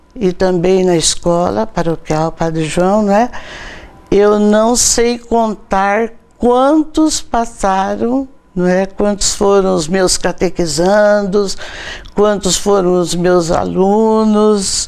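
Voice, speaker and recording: A woman speaking at a very slow pace, her loudness very even and her pitch variation ordinary, over noticeable background noise. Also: medium pitch for a woman. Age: 80s+. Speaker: catechist and book author. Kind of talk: TV interview.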